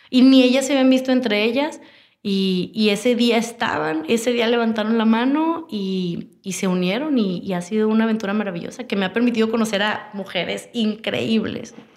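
Speaking at a fairly high pitch, a woman is heard with audible room echo. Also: ordinary pitch variation, moderate pace. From Monterrey, Mexico. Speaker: communications professional and entrepreneur. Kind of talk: interview.

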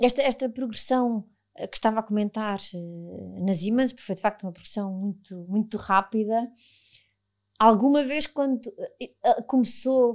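A woman speaks at a moderate pace with a fairly high pitch and ordinary pitch variation, taking long, frequent pauses in a very clean recording with a silent background. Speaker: podcast host, HR professional. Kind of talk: interview.

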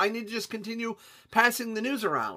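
A man with a high pitch and a bright, sharp tone speaks in a raised, projected voice. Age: 30s. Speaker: podcast host. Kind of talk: solo monologue.

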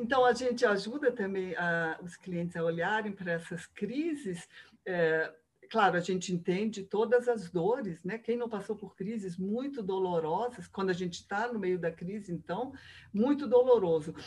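Somewhat breathy female speech, moderately paced, with ordinary variation in pitch. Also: medium pitch for a woman. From Rio de Janeiro, Brazil. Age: 60s. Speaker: biographical counselor. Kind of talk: interview.

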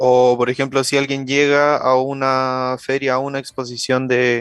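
A man's medium-pitched voice at a fairly slow pace, dry and close with no echo, against a quiet background. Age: 20s. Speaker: podcast co-host. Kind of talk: casual chat.

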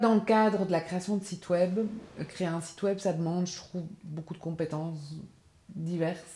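A woman speaks in a fairly low pitch with a dark, mellow, somewhat breathy tone. Her intonation stays fairly even, and she pauses long and often. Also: moderate pace, big swings in loudness. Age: 40s. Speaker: freelance graphic designer, cooperative member. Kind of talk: interview. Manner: halting, many repetitions and fillers.

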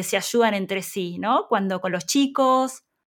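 A woman's lively intonation at a fairly slow pace. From Argentina. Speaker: podcast host. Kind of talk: interview.

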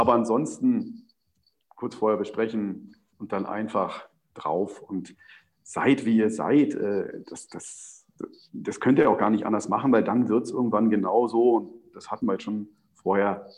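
Speaking fairly slowly at medium pitch, a man keeps his intonation fairly even while his loudness swings widely, with long, frequent pauses. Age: 40s. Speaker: sports TV presenter. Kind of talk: interview.

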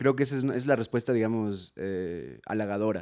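A man with an ordinary speaking voice talks at a fairly low pitch with ordinary pitch variation, in a very clean recording with a silent background and a dry, close sound with no echo. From Ecuador. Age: 20s. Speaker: comedian and musician. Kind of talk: casual chat.

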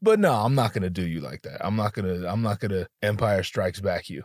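A man at a very fast pace, on a very clean recording with a silent background. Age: 20s. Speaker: podcast host. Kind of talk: casual storytelling monologue. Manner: animated.

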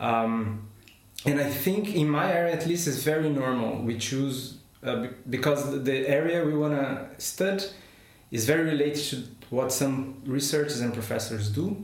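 A fairly high-pitched man with a Portuguese accent at a moderate pace, with ordinary pitch variation, audible room echo and noticeable background noise. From Brazil. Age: 30s. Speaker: chemist, postdoctoral researcher. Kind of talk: interview. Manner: halting.

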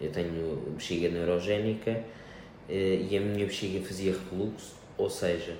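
A man talks in a very deep, low voice. Audible room echo surrounds him. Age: 20s. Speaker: hemodialysis patient, wheelchair athlete. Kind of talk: interview. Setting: hemodialysis clinic. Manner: hesitant.

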